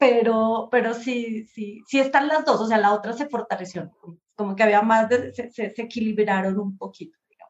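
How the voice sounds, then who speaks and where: Hardly pausing, a woman speaks at a moderate pace in a fairly high voice with ordinary pitch variation and big swings in loudness. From Colombia, Pasto (Nariño, south near Ecuador). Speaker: design professor and researcher. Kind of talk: interview conversation. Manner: halting, many repetitions and fillers.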